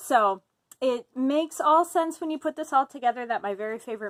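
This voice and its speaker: Speaking with an Upper Midwest accent, a woman uses a high pitch with very wide pitch swings at a fairly quick pace. The sound is dry and close, with no echo. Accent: Upper Midwest, like Fargo. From US Midwest (Fargo area, North Dakota). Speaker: writer. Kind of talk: casual self-introduction monologue. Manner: casual with fillers.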